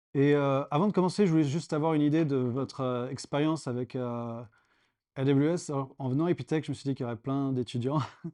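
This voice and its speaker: Very fast male speech, fairly high in pitch, dark and mellow in tone, with fairly even intonation and a quiet background. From France. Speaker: startup founder and cloud engineer. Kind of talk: tech meetup talk. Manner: hesitant, many fillers.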